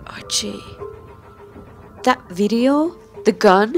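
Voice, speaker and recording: Music plays in the background as a woman with a medium pitch speaks with lively intonation. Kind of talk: fan dub of TV drama dialogue.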